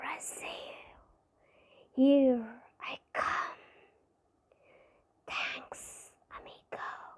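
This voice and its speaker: In a put-on character voice, someone whispers with a hiss at a very slow pace, leaving long, frequent pauses. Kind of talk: casual, friendly.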